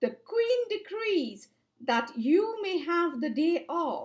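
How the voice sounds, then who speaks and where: Putting on a character voice, a woman draws her words out very slowly at an extremely high pitch, her pitch swinging very widely. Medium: read story. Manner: soothing, affectionate.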